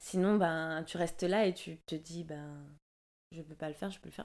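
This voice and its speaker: A woman with a fairly low pitch at a fairly slow pace, her intonation fairly even. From Martinique. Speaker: dancer; interview guest. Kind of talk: casual interview. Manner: halting, many hesitations. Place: home room. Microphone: studio mic.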